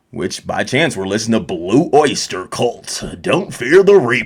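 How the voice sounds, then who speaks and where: Putting on a character voice, a man speaks at a moderate pace and medium pitch with very wide pitch swings. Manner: smooth, announcer-like.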